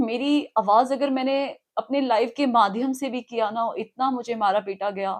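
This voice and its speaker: Her pitch fairly high and its variation ordinary, a woman speaks in an ordinary speaking voice. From Himachal Pradesh, Shimla. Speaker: alleged abuse victim. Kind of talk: interview testimony. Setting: outside party headquarters.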